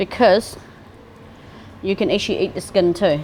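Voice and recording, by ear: Faint background noise sits behind a woman speaking at a moderate pace. Her medium-pitched voice has a slightly mellow tone and ordinary pitch variation.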